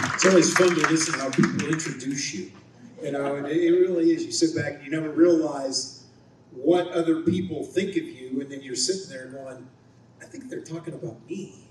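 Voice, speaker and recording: With audible room echo and noticeable background noise, a man in an American accent talks at a fairly quick pace with a fairly high pitch and big swings in loudness. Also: ordinary pitch variation. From Ohio, US Midwest. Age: 60s. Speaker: TV news anchor and reporter. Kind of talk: luncheon speech. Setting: banquet hall with audience.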